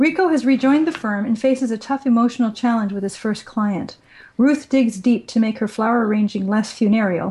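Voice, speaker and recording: Fairly quick and somewhat breathy, a woman speaks at a fairly high pitch with ordinary pitch variation and a dark, mellow tone. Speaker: podcast co-host. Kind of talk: casual chat.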